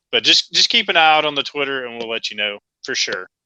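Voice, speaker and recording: A man with a Southern US accent at a very fast pace, fairly high in pitch, bright and sharp in tone, with a dry, close sound and no echo. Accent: Southern American. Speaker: wrestling podcast co-host. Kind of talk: casual chat.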